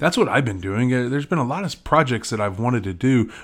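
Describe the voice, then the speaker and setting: Lively intonation colors an unremarkable speaking voice in a very clean recording with a silent background. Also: man. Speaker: podcaster and blogger. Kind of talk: casual solo monologue. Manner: casual, rambling, filler words.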